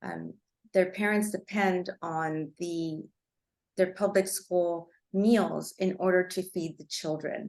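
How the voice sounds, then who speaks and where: At a very slow pace, a woman with a Spanish accent speaks at a medium pitch, her intonation fairly even but her loudness swinging widely. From Los Angeles, Cuban immigrant family. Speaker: attorney presenter. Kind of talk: webinar presentation. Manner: halting, many fillers.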